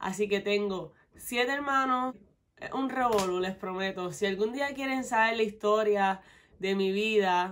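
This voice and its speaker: Woman with a Puerto Rican accent in an animated tone, fairly slow pace and ordinary pitch variation, over light background noise. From Puerto Rico, west (Mayagüez); Puerto Rico. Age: 20s. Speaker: beauty vlogger. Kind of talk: casual Q&A vlog. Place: home room.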